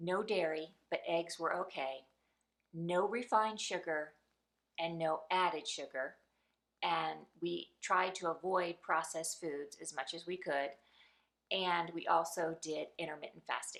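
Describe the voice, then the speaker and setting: Her pitch fairly low and her intonation fairly even, a woman speaks at a fairly slow pace with long, frequent pauses. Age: 50s. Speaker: lifestyle vlogger. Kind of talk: personal testimony vlog.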